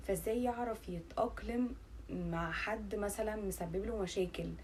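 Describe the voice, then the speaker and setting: With an Egyptian accent, a woman speaks with ordinary pitch variation. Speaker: YouTuber. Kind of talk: casual vlog talk. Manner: halting, many fillers.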